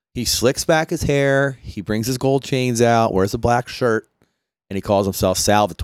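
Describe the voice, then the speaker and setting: In a Philadelphia accent, a man of medium pitch speaks at a moderate pace with ordinary pitch variation. The sound is dry and close with no echo, on a very clean recording with a silent background. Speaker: podcast host. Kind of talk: casual chat.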